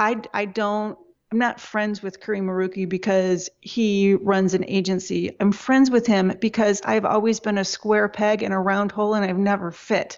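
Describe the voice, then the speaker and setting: A woman with an Upper Midwest accent speaks in a monotone, flat intonation. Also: medium pitch for a woman, moderate pace. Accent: Upper Midwest American. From Michigan, US. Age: 40s. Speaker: web agency owner. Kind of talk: interview.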